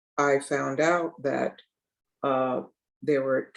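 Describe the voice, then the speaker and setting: A woman speaks with ordinary pitch variation. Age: 80s+. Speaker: author and family historian. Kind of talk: interview. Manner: halting, many fillers.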